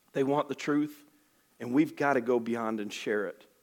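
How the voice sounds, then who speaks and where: A man with an Alabama accent and an animated tone. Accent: Southern US (Alabama). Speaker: missionary. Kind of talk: sermon. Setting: church. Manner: fast.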